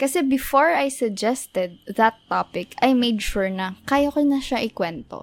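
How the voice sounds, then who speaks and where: A woman's high-pitched voice at a fairly slow pace. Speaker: podcast co-host. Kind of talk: casual chat.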